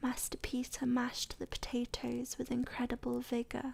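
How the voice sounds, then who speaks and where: A soft-spoken woman with a high pitch and a dark, mellow tone talks at a fairly slow pace in a flat monotone. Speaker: ASMR content creator. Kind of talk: soft-spoken ASMR story reading. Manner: soft-spoken, relaxing.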